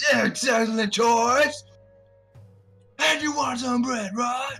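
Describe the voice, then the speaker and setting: A put-on character voice with a fairly high pitch moves at a very slow pace over faint music in the background. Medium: actual play. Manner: loud, exclamatory, forceful.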